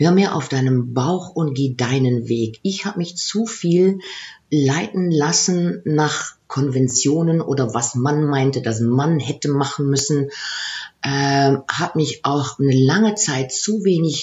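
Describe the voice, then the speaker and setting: Speaking very slowly, a woman with a very deep, low pitch sounds somewhat breathy, keeping her loudness very even and her pitch variation ordinary. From Aachen area, Germany / Netherlands border. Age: 50s. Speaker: coach and former HR executive. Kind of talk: interview. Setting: in person in Maastricht.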